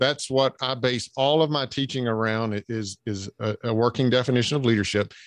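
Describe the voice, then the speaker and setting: A man speaks with a Southern US accent at a medium pitch. The sound is dry and close with no echo, over a quiet background. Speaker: leadership trainer and coach. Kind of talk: podcast interview.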